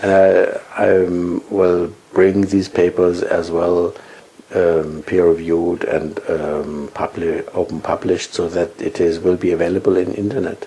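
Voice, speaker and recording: A man speaking at a fairly slow pace, with noticeable background noise. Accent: German. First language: German. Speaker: physics professor. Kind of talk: interview. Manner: halting.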